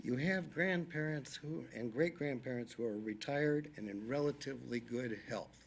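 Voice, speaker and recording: In a normal speaking voice, a man of medium pitch talks at a moderate pace with ordinary pitch variation and hardly any pauses. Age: 60s. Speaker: public commenter at school board meeting. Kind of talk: public comment.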